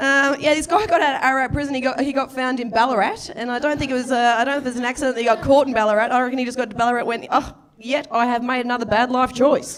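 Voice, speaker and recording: Against noticeable background noise, a high-pitched woman talks at a very fast pace with hardly any pauses. Her intonation stays fairly even. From Victoria, Australia. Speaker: stand-up comedian. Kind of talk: stand-up. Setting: stage with audience.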